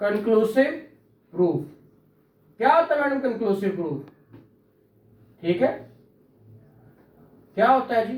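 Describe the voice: Lively intonation at a fairly slow pace, with long, frequent pauses and audible room echo. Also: man, extremely high pitch for a man.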